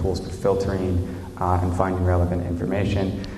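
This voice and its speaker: The man talks at a fairly quick pace. Audible room echo and noticeable background noise come through. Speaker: conference speaker. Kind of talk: conference talk. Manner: hesitant, many fillers; loud.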